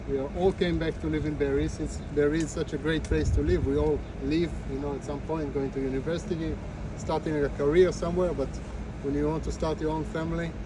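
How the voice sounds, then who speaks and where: With noticeable background noise and audible room echo around him, a man talks at a very fast pace. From Israel (southern kibbutz near Gaza). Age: 30s. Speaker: kibbutz resident giving a tour. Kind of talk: testimony / guided tour talk. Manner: halting, many fillers.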